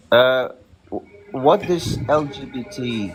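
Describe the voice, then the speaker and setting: Over music in the background, a man with a medium pitch talks at a very slow pace, his voice making very wide pitch swings. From South Africa. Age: 30s. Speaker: livestream guest. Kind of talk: casual debate on livestream. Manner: halting, hesitant.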